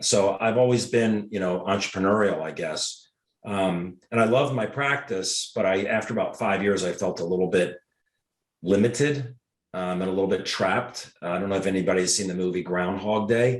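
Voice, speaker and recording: With a Mid-Atlantic American accent, a man speaks at a moderate pace in a fairly low pitch with ordinary pitch variation. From Washington, D.C. area. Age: 60s. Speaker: podiatrist and network marketer. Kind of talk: interview.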